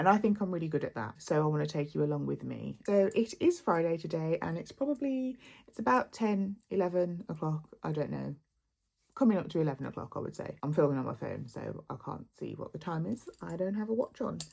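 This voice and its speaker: With a Birmingham accent, a woman speaks at a fairly quick pace. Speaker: lifestyle vlogger. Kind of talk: casual vlog talk to camera.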